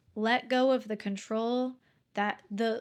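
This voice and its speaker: A woman's fairly high, monotone voice with flat intonation, on a very clean recording with a silent background. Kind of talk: casual faith podcast talk.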